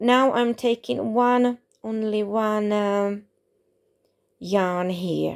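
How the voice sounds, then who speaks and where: A woman with a non-native accent, dry and close with no echo, in a very clean recording with a silent background. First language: not English. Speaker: crochet tutorial creator. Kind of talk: tutorial. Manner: halting.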